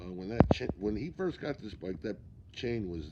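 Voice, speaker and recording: A man speaks in a dark, mellow tone. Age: 60s. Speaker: mechanic. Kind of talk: shop tutorial. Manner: casual, halting with fillers.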